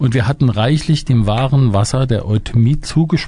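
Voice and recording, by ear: A natural voice reading aloud, pitch varying in an ordinary way.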